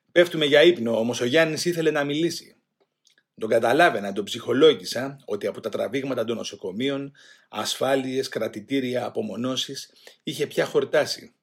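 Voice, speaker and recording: This man has an unremarkable speaking voice, fairly high in pitch with ordinary variation. He talks at a moderate pace. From Greece, Attica (Rafina). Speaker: former political prisoner. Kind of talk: testimony.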